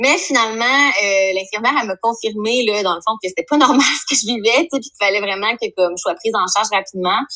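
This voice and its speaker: Over noticeable background noise, a woman talks with hardly any pauses at a fairly high pitch and with ordinary pitch variation. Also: fairly quick pace. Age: 30s. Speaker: psychosocial worker. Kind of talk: casual chat.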